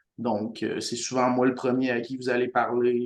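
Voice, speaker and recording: In a Quebec accent, a man speaks at a medium pitch and a moderate pace. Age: 20s. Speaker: community life coordinator. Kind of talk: podcast introduction. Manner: halting.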